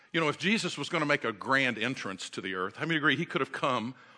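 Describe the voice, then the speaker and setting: Talking at a fairly quick pace, a man has an American accent and lively intonation. His bright, sharp tone carries vocal fry. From Oklahoma, small rural town. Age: 60s. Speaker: guest speaker, family ministry. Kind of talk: sermon. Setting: church with congregation. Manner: animated.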